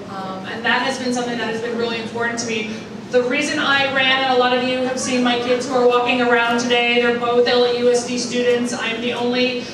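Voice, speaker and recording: Over noticeable background noise and audible room echo, a woman talks in a high-pitched voice. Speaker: guest. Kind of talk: public speech. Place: hall.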